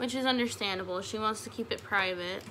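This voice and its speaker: Someone speaks with an American accent against audible room echo. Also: woman. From Utah. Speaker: beauty vlogger. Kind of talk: casual chat while doing makeup tutorial. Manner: animated.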